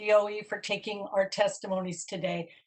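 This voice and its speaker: An ordinary speaking voice, this woman talks at a moderate pace with a fairly high pitch. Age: 60s. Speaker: parent giving public testimony. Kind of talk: public testimony. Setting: virtual meeting, audio only.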